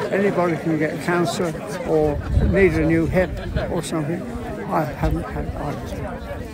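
Amid loud background noise, the dry, echo-free speech moves at a moderate pace with long, frequent pauses. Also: man. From Salisbury, Wiltshire, England. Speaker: rambler, war veteran. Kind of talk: interview answer. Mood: cheerful, pleased, modest. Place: open country.

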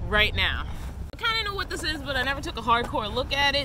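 Recorded with a dry, echo-free sound, a woman speaks over noticeable background noise. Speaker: van life vlogger. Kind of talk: casual vlog chat / product review. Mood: relaxed, a bit apologetic. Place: open country.

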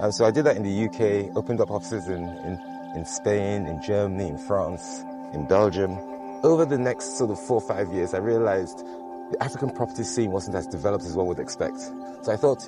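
A man talks at a very fast pace in a fairly low pitch. The sound is dry with no echo, and clear music plays in the background. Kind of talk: interview answer. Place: beach. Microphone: lapel.

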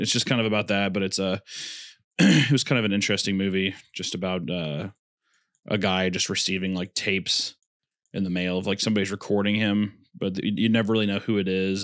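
A man at a fairly low pitch, talking at a very fast pace over a quiet background. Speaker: podcast host. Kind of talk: casual podcast conversation. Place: home room. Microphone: studio mic.

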